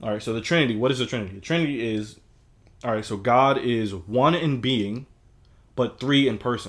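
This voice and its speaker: On a very clean recording with a silent background, a man uses a normal speaking voice at a medium pitch, a fairly quick pace and ordinary pitch variation. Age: 20s. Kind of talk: casual discussion. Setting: livestreamed recording.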